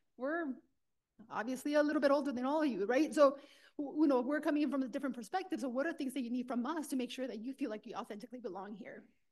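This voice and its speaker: A woman with a Spanish accent talks at a very fast pace in a high voice, her pitch rising and falling in an ordinary way. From Los Angeles, California. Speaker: university administrator and doctoral candidate. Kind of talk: panel discussion.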